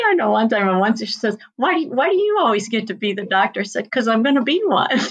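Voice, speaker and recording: In an American accent, a woman speaks at a very fast pace, her fairly high, somewhat breathy voice full of lively intonation. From US Midwest, rural Missouri (Union, Ozarks). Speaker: veterinarian. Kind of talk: interview.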